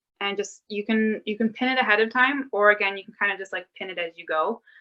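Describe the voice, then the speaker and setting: Speaking at a moderate pace, a woman keeps a medium pitch and a fairly even intonation. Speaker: mending workshop presenter. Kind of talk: tutorial. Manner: loud; casual, filler-heavy.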